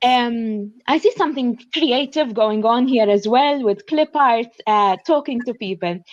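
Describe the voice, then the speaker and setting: A woman's high-pitched voice with a Maltese accent, fairly slow yet with hardly any pauses, in a quiet background. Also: ordinary pitch variation. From Malta. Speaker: graduate student. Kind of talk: panel discussion.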